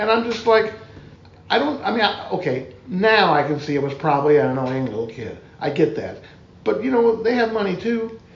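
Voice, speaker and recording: A man with a high voice speaks, his pitch swinging very widely. Audible room echo and noticeable background noise come through. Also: fairly quick pace. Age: 60s. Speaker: musician. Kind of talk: casual chat.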